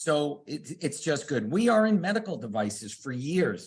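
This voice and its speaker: At a moderate pace, a man speaks at a fairly high pitch in an animated, somewhat breathy way, his pitch swinging very widely. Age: 60s. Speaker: product company representative. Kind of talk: sales pitch.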